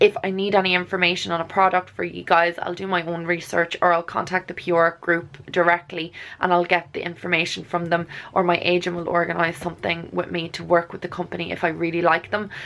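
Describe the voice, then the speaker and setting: A woman with an Irish accent talks at a very fast pace with hardly any pauses, her intonation monotone and flat. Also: fairly low pitch for a woman. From Ireland. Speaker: beauty vlogger and nutritionist. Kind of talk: casual talk to camera.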